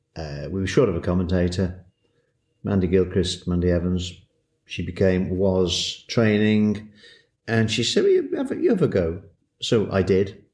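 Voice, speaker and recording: A man's very deep, low voice at a moderate pace, fairly even in intonation, broken by long, frequent pauses. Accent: Welsh. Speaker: horse racing commentator and countryman. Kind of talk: interview.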